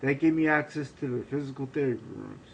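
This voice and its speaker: A man with an American accent talks at a very fast pace with fairly high pitch. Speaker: brain injury survivor. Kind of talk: reading aloud. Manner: halting.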